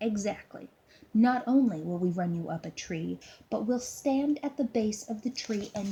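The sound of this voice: In an unforced reading voice, the speaker moves through lively intonation.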